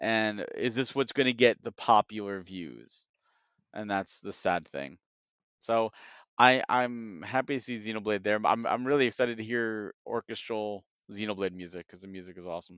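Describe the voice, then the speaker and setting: A man's fairly low voice with an American accent, an ordinary speaking voice, ordinary pitch variation, big swings in loudness and a moderate pace. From United States. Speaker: video game industry analyst. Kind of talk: casual chat.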